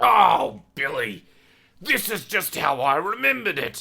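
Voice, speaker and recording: Using a put-on character voice, a man projects a raised, raspy voice at a high pitch and a fairly slow pace. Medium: read story. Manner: doddering, affectionate.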